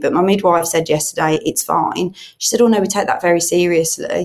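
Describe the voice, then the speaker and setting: Speaking at a very fast pace, a woman uses a fairly low pitch with ordinary pitch variation. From Birmingham, England. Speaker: charity head and online church pastor. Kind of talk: casual interview, personal testimony. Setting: in person, studio.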